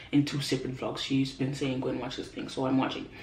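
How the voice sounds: A woman speaks with a slightly mellow tone. Audible room echo surrounds her voice.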